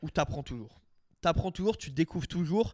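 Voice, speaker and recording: A high-pitched male voice with lively intonation, in a dry, close sound with no echo. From Alsace, France. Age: 20s. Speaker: content creator and reptile breeder. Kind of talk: casual interview.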